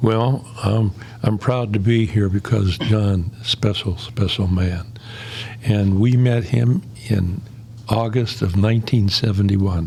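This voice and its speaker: Over noticeable background noise, a man with a fairly low voice talks at a very slow pace, his intonation fairly even and his loudness very even. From Pittsburgh area, US. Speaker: former college residence head. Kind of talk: podcast interview.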